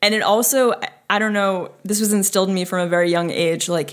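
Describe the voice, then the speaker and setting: A woman with an American accent has an unremarkable speaking voice, medium pitch and ordinary pitch variation. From northern New Jersey. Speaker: guest. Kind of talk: casual chat.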